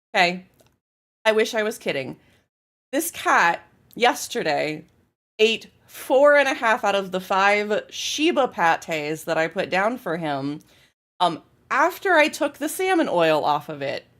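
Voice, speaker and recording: A woman speaks loudly at a medium pitch and a fairly slow pace, her pitch swinging very widely, with long, frequent pauses over a very clean recording and a silent background. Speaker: game streamer. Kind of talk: casual chat.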